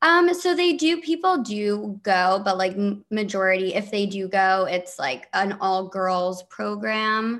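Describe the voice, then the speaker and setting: A woman with an American accent talks at a very slow pace. Her pitch is medium and her intonation is lively. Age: 20s. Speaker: TikToker, reality show cast member. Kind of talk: interview.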